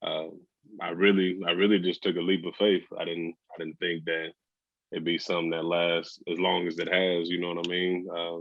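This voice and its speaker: Speaking in a very deep, low pitch, a man with a Southern US accent keeps a monotone, flat intonation. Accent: Southern drawl. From West Texas (Amarillo). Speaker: entrepreneur, brand founder, podcast guest. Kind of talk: casual interview.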